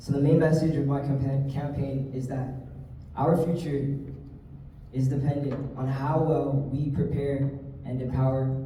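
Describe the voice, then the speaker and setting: A man with a Hawaiian accent and a fairly high voice, at a moderate pace, amid audible room echo and noticeable background noise. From Hawaii, windward Oahu. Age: 20s. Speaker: political candidate. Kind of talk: campaign speech. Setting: candidate forum with audience.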